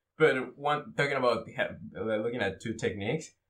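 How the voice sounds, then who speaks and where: On a very clean recording with a silent background, a man talks in a Spanish accent. He keeps a moderate pace with ordinary pitch variation. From Mexico. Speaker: Brazilian jiu-jitsu blue belt. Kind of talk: casual chat.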